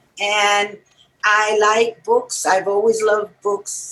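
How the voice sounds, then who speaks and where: A woman with a New York accent talks at a medium pitch. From New York City, Puerto Rican family. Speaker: music writer and musician. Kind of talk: interview.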